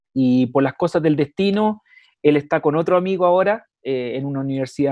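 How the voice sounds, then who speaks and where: Speaking with a Chilean accent, a man talks at a moderate pace with a fairly high pitch and ordinary pitch variation. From Chile, Constitución. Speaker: dentist and university lecturer. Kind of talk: lecture. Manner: hesitant with many fillers.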